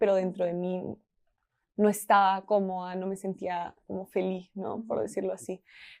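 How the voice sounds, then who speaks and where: There is a dark, mellow tone to this woman's voice. She speaks at a moderate pace. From Peru. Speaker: marketing team member. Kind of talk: podcast interview answer.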